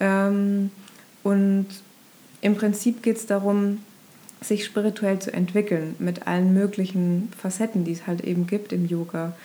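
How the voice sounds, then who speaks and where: A woman's medium-pitched voice, dark and mellow in tone, with monotone, flat intonation and long, frequent pauses. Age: 30s. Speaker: ashram resident, former marketing worker. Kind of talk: casual interview chat. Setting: in person at a yoga ashram. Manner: hesitant, many filler sounds.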